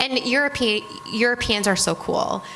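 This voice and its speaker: Against noticeable background noise, a woman with a Michigan accent speaks at a moderate pace with ordinary pitch variation. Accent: Michigan accent, nasal. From Michigan, US Midwest. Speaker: retail merchandising executive. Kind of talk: panel talk with students. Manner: loud; energetic.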